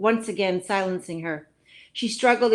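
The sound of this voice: The voice is an unforced reading voice. Pitch variation is ordinary.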